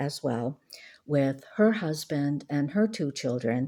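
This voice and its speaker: A dark, mellow, relaxed tone at a very slow pace, on a very clean recording with a silent background. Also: woman. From Maine, New England. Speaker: lifestyle vlogger. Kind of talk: casual talk to camera. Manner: relaxed, hesitant with fillers.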